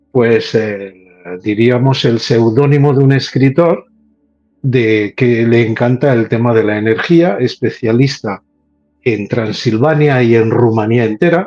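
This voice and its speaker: Fairly slow speech from a man, backed by music. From Spain, Catalonia (Terrassa). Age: 60s. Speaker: paranormal researcher. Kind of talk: casual chat.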